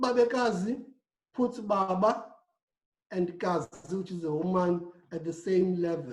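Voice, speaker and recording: The speaker has a South African accent and a fairly slow pace. Long, frequent pauses run throughout. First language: Xhosa. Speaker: panelist. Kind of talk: panel discussion.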